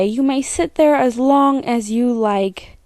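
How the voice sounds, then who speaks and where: A woman with a fairly high pitch and a dark, mellow tone speaks with ordinary pitch variation, in a dry, close sound with no echo. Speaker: children's book narrator. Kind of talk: children's story reading.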